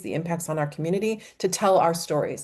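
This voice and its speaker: A woman at a fairly quick pace, with ordinary pitch variation, against a quiet background. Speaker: policy advocate. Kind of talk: webinar presentation. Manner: fast.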